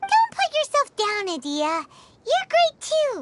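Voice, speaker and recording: A put-on, squeaky character voice with a warm tone, extremely high pitch and very wide pitch swings, at a fairly slow pace. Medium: video game. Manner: warm, encouraging.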